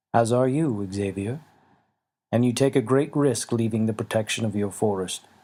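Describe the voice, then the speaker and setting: On a very clean recording with a silent background, a man performs a rumbling put-on character voice at a medium pitch and a moderate pace. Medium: read story. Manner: grave, measured.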